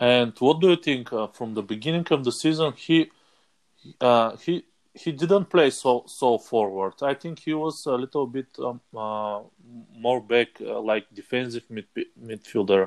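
With a Bulgarian accent, a man talks at a fairly slow pace in a medium pitch with ordinary pitch variation, in a dry, close sound with no echo. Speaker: fantasy football player. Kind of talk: casual chat. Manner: halting.

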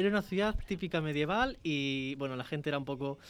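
Moving at a fairly quick pace, a man talks with lively intonation in a plain, everyday voice. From León, Spain. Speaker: university radio host. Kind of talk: casual chat. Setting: radio studio.

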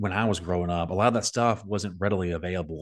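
With an American accent, a man talks at a very deep, low pitch and with fairly even intonation. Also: quiet background. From US South (Jasper County, South Carolina). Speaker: podcast host. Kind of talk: interview; promotional pitch. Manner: halting.

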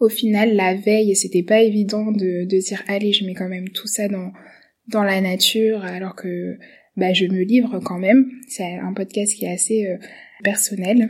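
The voice is somewhat breathy, with monotone, flat intonation at a fairly slow pace. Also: woman, medium pitch for a woman. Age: 20s. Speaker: medical resident and podcaster. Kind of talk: self-presentation monologue. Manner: halting.

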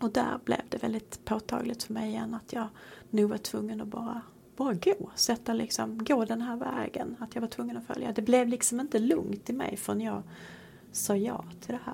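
Behind a woman talking at a moderate pace, there is noticeable background noise. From Sweden. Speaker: priest. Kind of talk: casual chat.

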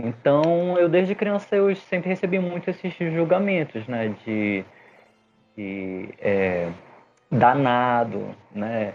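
Speaking at a very slow pace, a man with a fairly high pitch swings very widely in pitch. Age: 30s. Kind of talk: casual chat.

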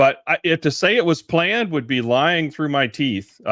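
The recording is very clean, its background silent. A man talks at a fairly quick pace. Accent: Texan. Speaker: podcaster and speaker. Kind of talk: casual interview.

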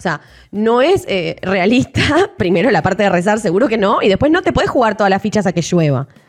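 Her pitch medium and her loudness very even, a woman speaks at a fairly quick pace with very wide pitch swings. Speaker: podcast co-host. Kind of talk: casual chat.

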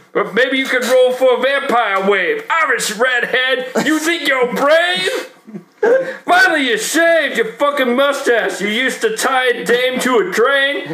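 Over noticeable background noise, a man with an extremely high pitch uses a raised, projected voice at a fairly slow pace, with lively intonation and very even loudness. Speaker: podcast host and rapper. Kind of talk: casual banter podcast, comedic rapping.

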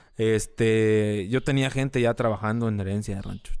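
In a rural Mexican accent, a man talks at a moderate pace on a very clean recording with a silent background. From rural Mexico. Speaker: social media page creator, former radio host. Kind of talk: casual chat.

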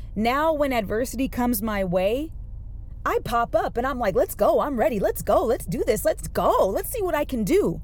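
Over noticeable background noise, a woman talks in an animated tone with a high pitch and very wide pitch swings. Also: moderate pace. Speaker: podcast host. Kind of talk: motivational monologue. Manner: louder than usual.

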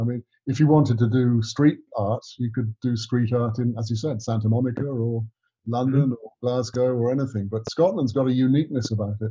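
In an English accent, a man with a medium pitch and a dark, mellow, somewhat breathy tone speaks at a fairly quick pace with fairly even intonation. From England. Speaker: writer and director, co-host. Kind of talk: interview.

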